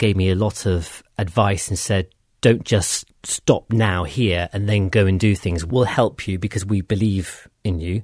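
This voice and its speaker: Over a very clean recording with a silent background, a man with a plain, everyday voice speaks at a fairly slow pace, with fairly low pitch and fairly even intonation. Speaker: audio production business owner. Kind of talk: casual interview.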